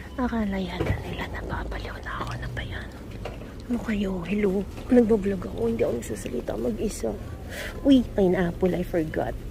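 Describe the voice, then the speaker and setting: Noticeable background noise is audible. The talking moves fairly quickly. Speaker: vlogger. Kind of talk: casual vlog chat. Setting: car park and supermarket. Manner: animated.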